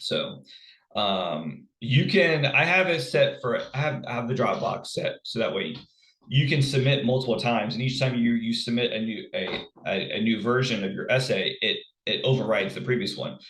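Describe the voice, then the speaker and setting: Room echo is audible on this recording. The man speaks at a moderate speed. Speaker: college instructor. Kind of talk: recorded lecture. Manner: halting, many fillers and repeats.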